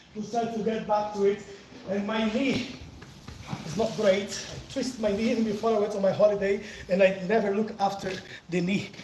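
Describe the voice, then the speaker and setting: A man with a Brazilian accent speaks fairly quickly in a high pitch with monotone, flat intonation and long, frequent pauses. Audible room echo and noticeable background noise fill the recording. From southern Brazil, countryside of Paraná. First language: Portuguese. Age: 40s. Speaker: capoeira teacher, livestreamer. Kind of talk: casual live chat during workout. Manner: breathless, effortful.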